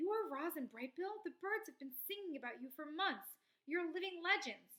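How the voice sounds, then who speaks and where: Squeaky and extremely high in pitch, a woman's put-on character voice moves at a moderate pace. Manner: excited, awed.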